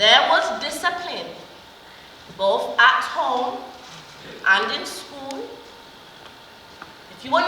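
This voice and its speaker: A woman talking at a very slow pace, with noticeable background noise and audible room echo. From Jamaica. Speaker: retired nurse. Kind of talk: testimony.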